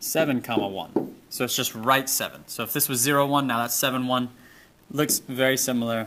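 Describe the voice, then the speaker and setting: In a very clean recording with a silent background, a man with medium pitch and a bright, sharp tone speaks at a fairly quick pace with fairly even intonation. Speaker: math teacher. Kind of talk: tutorial.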